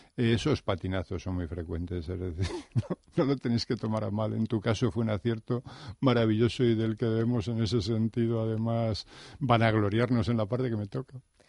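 A man speaks at a moderate pace in a medium pitch. His tone is dark and mellow. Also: ordinary pitch variation. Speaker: teacher. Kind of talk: interview. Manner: formal.

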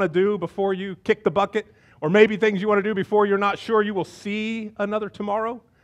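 Talking at a fast pace with few pauses, a man uses a high pitch and fairly even intonation.

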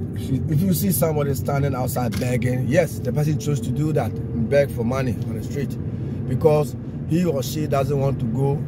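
Loud background noise sits under speech at a moderate pace with ordinary pitch variation, and the sound is dry with no echo. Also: man. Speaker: driver vlogger. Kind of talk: casual vlog chat. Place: car. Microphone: phone near.

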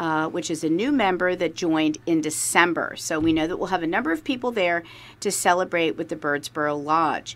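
In a plain, everyday voice, a woman with a fairly low pitch talks at a fairly quick pace with ordinary pitch variation. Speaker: guest host from business chamber. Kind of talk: radio announcement of events. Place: studio.

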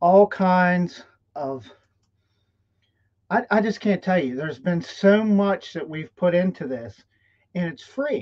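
A man's voice at a fairly slow pace, with ordinary pitch variation over a quiet background. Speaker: live stream host, business coach. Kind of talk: live stream talk. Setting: live stream. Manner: animated. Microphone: webcam.

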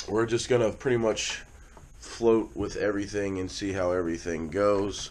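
Noticeable background noise runs under speech that unfolds at a fairly slow pace. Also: man. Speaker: vlogger. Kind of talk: casual vlog chat. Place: home room. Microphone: phone near.

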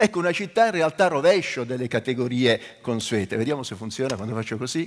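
A man speaks with very wide pitch swings. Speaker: architect and urban planner; invited lecturer. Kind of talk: lecture. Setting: stage with audience. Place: stage.

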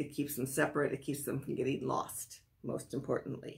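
With an American accent and vocal fry, a woman speaks at a moderate pace. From US Midwest, Wisconsin. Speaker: sewing and pattern-making instructor; pattern-making instructor. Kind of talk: tutorial. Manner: halting with many fillers. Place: home room. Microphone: phone near.

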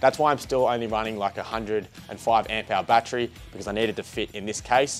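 Over faint background music, a man rattles through his words at a very fast pace. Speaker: DIY video host. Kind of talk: tutorial. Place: workshop.

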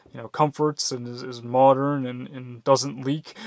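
A man at a moderate pace, fairly even in intonation, dry with no echo, over a quiet background. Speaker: vlogger. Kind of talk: casual vlog chat. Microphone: phone near.

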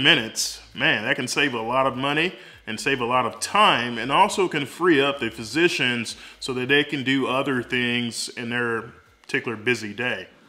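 At a moderate pace, the man delivers his words. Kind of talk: explainer vlog. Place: home room. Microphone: phone near.

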